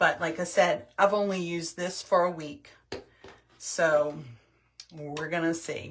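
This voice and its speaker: Speaking at a fairly slow pace with long, frequent pauses, a woman uses a fairly low pitch. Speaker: skincare product demonstrator. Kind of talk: tutorial. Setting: livestream video.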